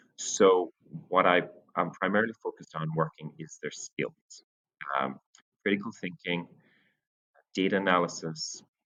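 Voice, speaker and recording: A man with an Irish accent and a very deep, low pitch, ordinary pitch variation, a moderate pace and long, frequent pauses. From Ireland (Cork area). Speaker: science teacher. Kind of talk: teacher introduction to parents. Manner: hesitant, many fillers.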